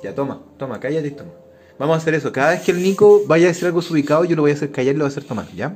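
With music in the background, a man talks at a very fast pace in a fairly high pitch, showing ordinary pitch variation and big swings in loudness. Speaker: podcast host. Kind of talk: casual chat.

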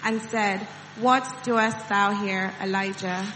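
A woman speaks in a flat monotone at a fairly slow pace. Background noise is clearly audible. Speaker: scripture reader. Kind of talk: reading aloud. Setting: church.

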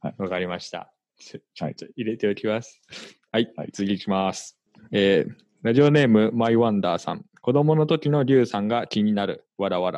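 A man speaks fairly quickly at a medium pitch, with ordinary pitch variation. His loudness swings widely against a quiet background. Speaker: podcast host. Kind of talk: casual chat. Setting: recording at home late at night.

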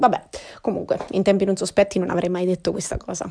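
Speaking at a medium pitch, a woman uses vocal fry and a monotone, flat intonation. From Marche, central Italy. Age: 20s. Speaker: podcaster. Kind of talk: casual monologue. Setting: at home during quarantine. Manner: hesitant, with frequent fillers.

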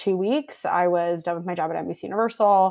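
A woman with an American accent has a fairly low pitch, ordinary pitch variation and an ordinary speaking voice. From Buffalo, New York. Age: 20s. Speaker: recruiter and fiction writer. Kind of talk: interview conversation.

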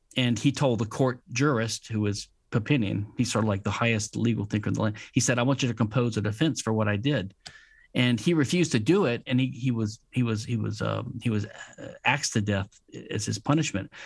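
In a very clean recording with a silent background, a man with an American accent and medium pitch speaks at a fairly quick pace, somewhat breathy, with ordinary pitch variation. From Louisiana, US South. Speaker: patent attorney and legal theorist. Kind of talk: interview. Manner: halting, frequent fillers and repetitions.

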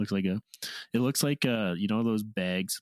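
A man speaks at a moderate pace with ordinary pitch variation. The recording is very clean and dry, with a close sound, a silent background and no echo. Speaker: podcast co-host. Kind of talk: casual chat.

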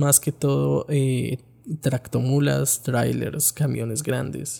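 Speaking fairly slowly, a man talks with a Colombian accent. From Colombia, Bogotá. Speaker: podcaster, backpacker. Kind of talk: personal travel storytelling. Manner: casual, conversational.

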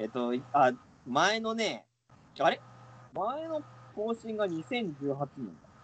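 Very slow and broken by long, frequent pauses, a man's high voice moves in very wide pitch swings. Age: 30s. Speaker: podcast co-host. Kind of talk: casual chat. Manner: laughs often.

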